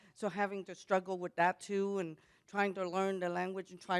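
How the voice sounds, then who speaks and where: Monotone and flat, a woman with a Vietnamese accent speaks at a moderate pace and medium pitch in a dry, close sound with no echo. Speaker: panelist, Vietnamese immigrant. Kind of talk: panel discussion.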